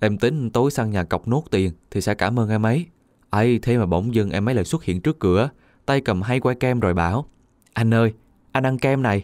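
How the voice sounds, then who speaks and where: A man speaks at medium pitch and a moderate pace, in a normal speaking voice with ordinary pitch variation. Loudness stays very even, and the sound is dry and close with no echo on a very clean recording with a silent background. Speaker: radio narrator reading listener stories. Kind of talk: reading aloud.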